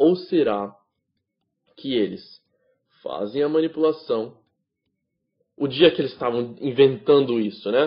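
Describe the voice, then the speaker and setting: A man's fairly high-pitched voice with ordinary pitch variation, a very slow pace and long, frequent pauses. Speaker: trading instructor. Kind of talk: lecture.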